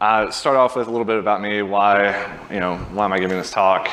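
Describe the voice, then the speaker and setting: With a Southern US accent, a man speaks at a fairly quick pace in a fairly low voice, his intonation fairly even, against noticeable background noise and audible room echo. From US South, Birmingham, Alabama. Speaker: software engineering manager. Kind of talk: conference talk.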